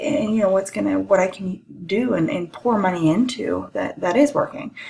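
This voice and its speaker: Woman at medium pitch and a fairly slow pace against noticeable background noise. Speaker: college lecturer. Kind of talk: recorded lecture.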